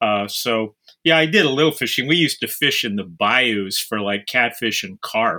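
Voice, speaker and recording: Lively intonation and a bright, sharp tone come from a man at medium pitch. He keeps a moderate pace. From Houston, Texas. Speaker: novelist and psychologist. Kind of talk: interview. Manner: halting, with many repeated words.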